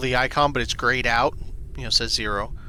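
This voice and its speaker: A man with an American accent, noticeable background noise behind him. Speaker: gaming streamer. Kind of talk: casual gameplay commentary. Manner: casual, halting with restarts.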